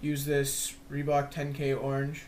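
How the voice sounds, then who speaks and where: Very slow and somewhat breathy, a man's fairly high-pitched voice comes through with audible room echo. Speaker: lacrosse stick stringing tutorial maker. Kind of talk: tutorial. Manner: casual, informal.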